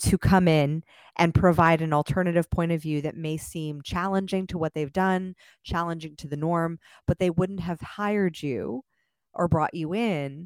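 Heard in a dry, close sound with no echo, a woman uses a normal speaking voice at fairly low pitch, talking at a fairly slow pace with fairly even intonation. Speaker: podcast guest, coach. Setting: live online audio, mic switching between earbuds and external mic.

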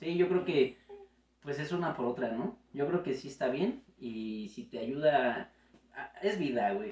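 A man with a fairly high pitch speaks at a very slow pace, his pitch swinging very widely against noticeable background noise. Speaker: video editor. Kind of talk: casual chat.

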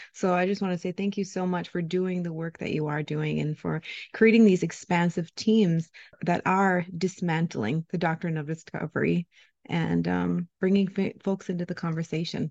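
A woman with an American accent uses a normal speaking voice at a fairly low pitch. She keeps a moderate pace and fairly even intonation, in a dry, close sound with no echo. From Ojibwe community, Upper Midwest. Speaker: podcast co-host. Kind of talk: interview conversation.

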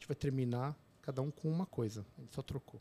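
A man's somewhat breathy, dark and mellow voice at medium pitch, fairly quick, with ordinary pitch variation and a dry, close sound free of echo. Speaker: obstetrician and podcaster. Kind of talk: casual interview chat.

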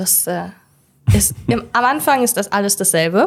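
Over a very clean recording with a silent background, a woman uses an ordinary speaking voice at a moderate pace and medium pitch. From Germany, Hildesheim (Lower Saxony). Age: 20s. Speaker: make-up artist. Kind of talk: interview.

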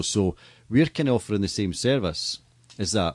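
Against a quiet background, a man with a Scottish accent talks at a very fast pace in a fairly low pitch, with ordinary pitch variation. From Scotland. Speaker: stadium PA announcer and entertainment business owner. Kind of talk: casual interview. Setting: studio.

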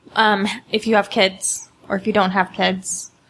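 A woman with a Utah accent talks at a medium pitch. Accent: Utah American. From Utah, West Valley. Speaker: panelist, feminist commentator. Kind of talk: panel discussion. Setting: studio with live audience.

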